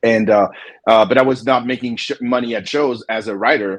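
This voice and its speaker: A man with a French accent, medium pitch, fairly even intonation and a moderate pace. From France, Paris. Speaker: comic book publisher and artist. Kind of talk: interview. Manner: halting, many repetitions.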